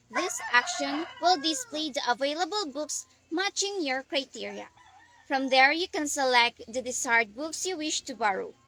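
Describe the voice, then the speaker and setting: Over noticeable background noise, a woman with a high voice projects it loudly, speaking at a moderate pace with lively intonation in a dry, close sound with no echo. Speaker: student. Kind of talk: scripted class presentation.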